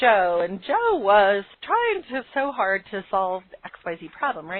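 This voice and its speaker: The speaker has an unremarkable speaking voice with lively intonation. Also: woman. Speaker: business coach, podcast host. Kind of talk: webinar lecture. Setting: live call with phone lines.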